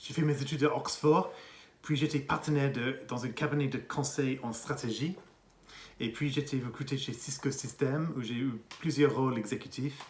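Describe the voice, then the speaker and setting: Speaking at a moderate pace, a man with an English accent uses fairly even intonation in a somewhat breathy, fairly high voice. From England. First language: English (speaking French). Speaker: executive coach and consultant. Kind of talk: interview monologue.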